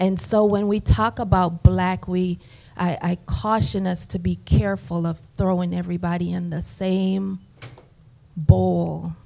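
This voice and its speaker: A woman in a Jamaican accent at a fairly slow pace. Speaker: therapist, conference panelist. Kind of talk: panel testimony.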